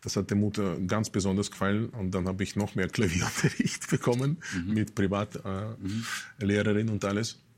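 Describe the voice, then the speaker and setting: In a Russian accent, a man with a fairly low pitch speaks at a moderate pace with ordinary pitch variation. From Russia, Moscow. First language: Russian (speaking German). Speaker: musician. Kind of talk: casual interview. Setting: studio.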